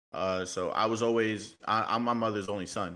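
With a slight New York accent, a man speaks in a fairly low pitch and a bright, sharp tone, his intonation monotone and flat, on a very clean recording with a silent background. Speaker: motorcycle club member. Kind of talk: casual chat.

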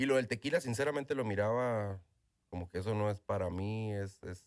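A man with a northern Mexican accent, fairly low in pitch, with ordinary pitch variation. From northern Mexico (Ojinaga, Chihuahua). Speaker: tequila brand owner. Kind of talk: interview. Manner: halting, with repetitions.

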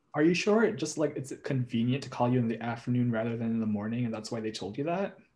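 The tone is dark and mellow. The pace is very fast, with hardly any pauses. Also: man, medium pitch for a man, ordinary pitch variation. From Caribbean heritage. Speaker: college friend. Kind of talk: casual chat.

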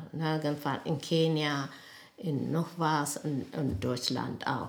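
A woman's very deep, low voice at a very slow pace, with audible room echo. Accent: Ethiopian. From Ethiopia, Addis Ababa. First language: Amharic (speaking German). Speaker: nurse and midwife. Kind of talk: life story interview. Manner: halting.

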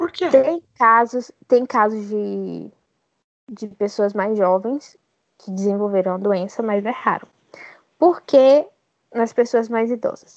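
At a very slow pace and with long, frequent pauses, a woman talks at a fairly high pitch with ordinary pitch variation. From Bahia, Brazil. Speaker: podcast guest, science student. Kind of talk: casual interview.

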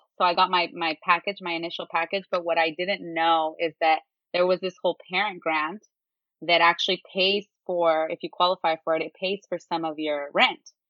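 A woman with an American accent, monotone and flat in intonation, at a moderate pace. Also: fairly low pitch for a woman. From San Jose, California. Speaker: student parent, university student. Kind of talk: casual chat.

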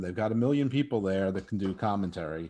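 This man has an ordinary speaking voice. His intonation is lively. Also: quiet background. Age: 50s. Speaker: podcast host. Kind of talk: casual chat.

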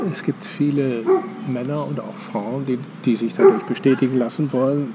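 Fairly high in pitch, a man talks at a fairly slow pace. Noticeable background noise runs underneath. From Germany. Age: 70s. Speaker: meditation teacher. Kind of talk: casual chat. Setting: outdoors.

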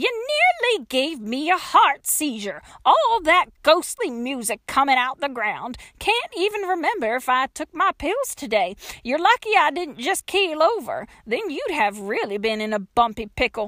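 Using a put-on character voice, a woman speaks high and fairly slowly with a bright, sharp tone, big pitch swings, and few pauses.

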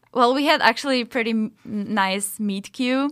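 A voice in a Czech accent, on a very clean recording with a silent background. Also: woman. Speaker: podcast co-host. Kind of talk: casual chat.

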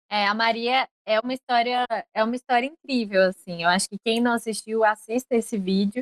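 A woman talks fairly quickly in a plain, everyday voice, fairly high in pitch, with fairly even intonation. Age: 20s. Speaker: podcaster. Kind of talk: casual chat.

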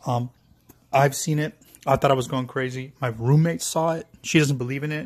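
This man has an American accent and a fairly high pitch. His voice is somewhat breathy, with fairly even intonation. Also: moderate pace. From Virginia, USA. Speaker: caller. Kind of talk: voice message.

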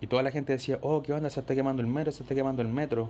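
Dark and mellow in tone, a man's voice keeps fairly even intonation. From Chile, Maipú (Santiago). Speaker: listener sending a voice note. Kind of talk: voice message anecdote.

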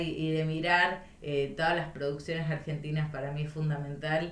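There is noticeable background noise. The room echo is audible too. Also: woman. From La Pampa, Argentina (north-east, Intendente Alvear). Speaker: provincial legislator. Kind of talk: interview. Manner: halting, many repetitions and fillers.

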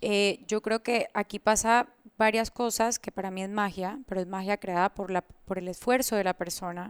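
This woman has a plain, everyday voice at a medium pitch, speaking at a fairly slow pace with fairly even intonation. The recording is very clean, with a silent background and a dry, close sound with no echo. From Colombia, moved to Panama at 10. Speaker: entrepreneur and coach. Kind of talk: interview.

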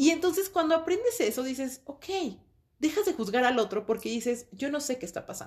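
Her high voice takes very wide pitch swings and big swings in loudness as this woman talks at a fairly quick pace. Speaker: podcast co-host. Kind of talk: casual chat.

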